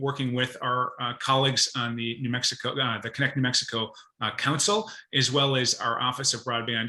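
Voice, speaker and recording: A man speaks with a Minnesotan accent. His pitch sits in the medium range. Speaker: state broadband policy advisor. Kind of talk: presentation to professional group. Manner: fast talker; hesitant fillers.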